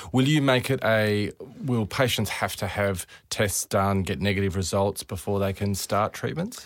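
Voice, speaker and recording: In a very clean recording with a silent background, a man with an Australian accent speaks at a moderate pace, his pitch fairly low with ordinary variation. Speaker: podcast host doctor. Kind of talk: interview.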